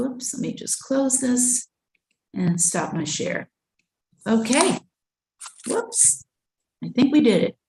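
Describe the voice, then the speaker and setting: The speaker talks at a very slow pace with lively intonation and long, frequent pauses, in a dry, close sound with no echo. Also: woman, high pitch for a woman. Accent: New York. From Brooklyn, New York. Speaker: school counseling presenter. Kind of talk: webinar presentation.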